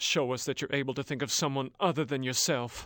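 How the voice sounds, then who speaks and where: A man does a put-on character voice at medium pitch and a fairly quick pace. The recording is very clean with a silent background. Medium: video game. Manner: bitter, grim.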